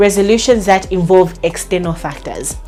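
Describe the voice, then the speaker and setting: A woman of medium pitch talks at a moderate pace while noticeable background noise carries on. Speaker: lifestyle YouTuber. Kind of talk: vlog advice talk to camera.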